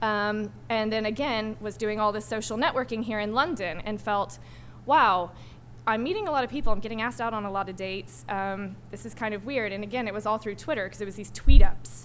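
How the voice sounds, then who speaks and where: There is audible room echo as a woman talks at a fairly quick pace. Her fairly high voice has ordinary pitch variation and big swings in loudness. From US South, Arkansas. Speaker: digital strategist, panel speaker. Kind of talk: panel talk. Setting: stage with audience. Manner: fast; hesitant, many ums.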